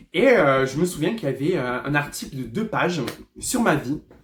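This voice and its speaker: At a moderate pace, this man delivers his words in a fairly high pitch. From southwest France, Lourdes. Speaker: hairdresser and former reality TV contestant. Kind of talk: storytime vlog monologue. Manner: loud; excitable, animated.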